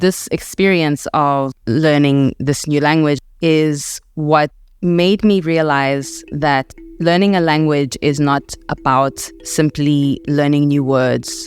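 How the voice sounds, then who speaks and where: Music plays in the background as the voice goes at a very slow pace. Loudness stays very even and intonation fairly even. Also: woman, very deep, low pitch for a woman. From South Africa, Alexandra township, Johannesburg. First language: Setswana (heritage; English dominant). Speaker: podcast host and writer. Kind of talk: reflective personal narration. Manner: measured, reflective.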